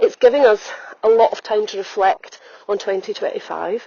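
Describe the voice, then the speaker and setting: A woman with an Edinburgh accent, at a moderate pace. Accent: Scottish (Edinburgh). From Scotland, Edinburgh. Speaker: holistic health coach and podcaster. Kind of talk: reflective podcast monologue. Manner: conversational, with frequent fillers.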